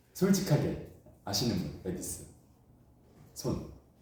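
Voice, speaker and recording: Slowly, with vocal fry and a dark, mellow tone, a man speaks at a fairly high pitch with very wide pitch swings in a room with audible echo. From China. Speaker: instructor. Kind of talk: lecture. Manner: animated.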